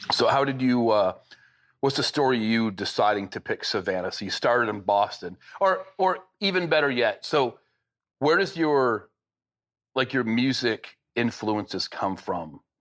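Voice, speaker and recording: A man with an American accent and a normal speaking voice, medium in pitch, with lively intonation at a fairly slow pace. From Michigan. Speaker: podcast host. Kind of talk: casual interview.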